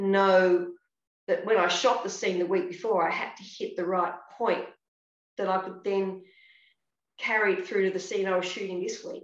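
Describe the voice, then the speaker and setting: A woman speaks with an Australian accent, leaving long, frequent pauses. The background is quiet, but there is audible room echo. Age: 60s. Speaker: actress. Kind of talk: casual chat. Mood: warm, animated. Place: home room. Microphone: video call.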